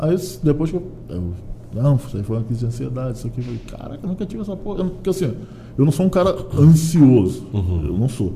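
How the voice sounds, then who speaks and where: A man at medium pitch talks at a very fast pace with very wide pitch swings and long, frequent pauses. Noticeable background noise is present. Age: 40s. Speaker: comedian. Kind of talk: casual chat.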